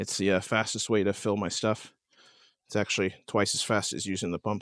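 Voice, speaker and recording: Against a quiet background, a man talks at a moderate pace with a fairly low pitch. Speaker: camping vlogger. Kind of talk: casual vlog tutorial. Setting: outdoors at campsite. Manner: casual with many fillers.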